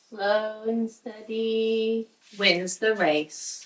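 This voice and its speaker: A woman speaks with a British accent. Her pitch sits fairly high. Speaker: DIY and home makeover vlogger. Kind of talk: casual vlog narration.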